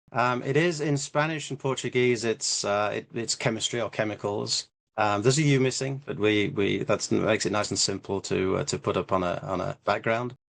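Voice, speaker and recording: Speaking with an English accent and hardly any pauses, a man keeps a moderate pace, a medium pitch and ordinary pitch variation over a quiet background. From England. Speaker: business co-founder. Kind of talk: interview. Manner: halting.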